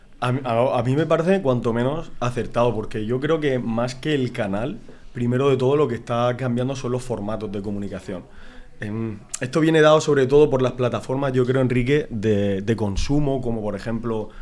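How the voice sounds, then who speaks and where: This man speaks at medium pitch with ordinary pitch variation in a Murcian accent. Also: moderate pace. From Murcia, Spain. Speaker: marketing director. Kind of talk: casual chat.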